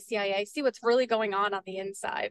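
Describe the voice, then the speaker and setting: An unremarkable speaking voice from a woman with an American accent, fairly high in pitch and fairly even in intonation, with a dry, close sound and no echo. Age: 20s. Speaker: peace advocate and nonprofit director. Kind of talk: interview.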